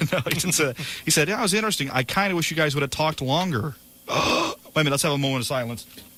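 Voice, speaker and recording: A man speaks at a very fast pace in a fairly high voice. His loudness stays very even and his pitch varies in an ordinary way, with noticeable background noise. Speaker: morning radio show co-host. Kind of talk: casual on-air banter. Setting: radio studio. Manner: animated.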